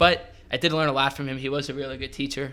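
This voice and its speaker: In a New York accent, a man talks at a very fast pace. The recording is very clean, the background silent. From New York (Westchester). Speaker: hospitality manager. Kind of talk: casual chat.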